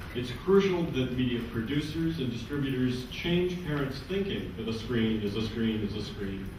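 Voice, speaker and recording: Over noticeable background noise and audible room echo, a man with a medium pitch talks at a moderate pace with lively intonation and hardly any pauses. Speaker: panel moderator. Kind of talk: conference panel introduction.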